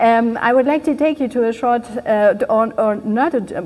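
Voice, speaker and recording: This speaker has a German accent and ordinary pitch variation. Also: woman. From Germany. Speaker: keynote speaker. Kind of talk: speech. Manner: halting.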